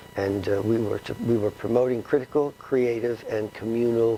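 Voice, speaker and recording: This man has a medium pitch. He speaks with a New York accent. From New York City, the Bronx. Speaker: retired philosophy professor and author. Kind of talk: interview. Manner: halting with many fillers.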